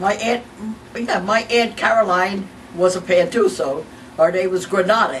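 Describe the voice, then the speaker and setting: A woman with a New York accent speaks at a moderate pace in a medium pitch with ordinary pitch variation, over noticeable background noise. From New York, Mount Vernon. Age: 90s. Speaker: family elder interviewee. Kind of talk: oral history interview. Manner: halting.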